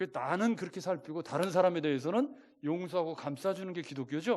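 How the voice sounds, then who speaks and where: High-pitched male voice, fairly quick, with lively intonation. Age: 60s. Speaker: pastor. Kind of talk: sermon. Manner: conversational, rhetorical questions to congregation.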